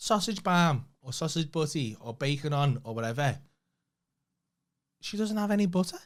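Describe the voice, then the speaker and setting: With a Liverpool accent, a man speaks at a moderate pace in a fairly high pitch with lively intonation. He leaves long, frequent pauses. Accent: Scouse. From Liverpool, England. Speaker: comedian. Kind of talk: casual chat.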